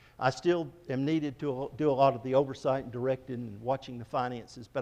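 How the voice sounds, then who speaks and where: A man with an ordinary speaking voice keeps his pitch in the medium range, his intonation fairly even as he talks at a fairly quick pace. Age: 60s. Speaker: missionary. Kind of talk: church presentation.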